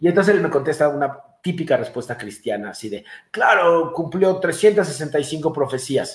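An animated man's voice, fairly high in pitch, with vocal fry. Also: lively intonation, fairly slow pace. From Mexico. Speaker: chiropractor and messianic congregation leader. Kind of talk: interview testimony.

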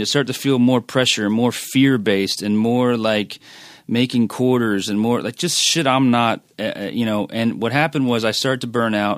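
A man with an American accent talks at a fairly quick pace and medium pitch on a very clean recording with a silent background. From Philadelphia, US. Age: 40s. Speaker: music industry manager. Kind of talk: casual interview.

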